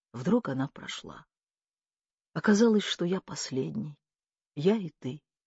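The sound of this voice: A woman speaks quietly in a put-on character voice, low-pitched with a husky, rough edge and lively intonation. Her pace is fairly slow, and the sound is dry and close with no echo. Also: slightly mellow tone.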